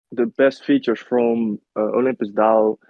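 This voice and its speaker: This man's voice sits at a medium pitch and stays monotone, with flat intonation. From Netherlands. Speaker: crypto project marketing manager. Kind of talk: interview Q&A. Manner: halting.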